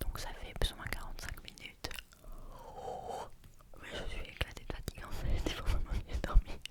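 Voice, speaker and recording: Noticeable background noise fills the recording. A woman is whispering at a fairly slow pace. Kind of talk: casual talk to camera. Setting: home recording with microphone. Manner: whispered, slow, soft-spoken.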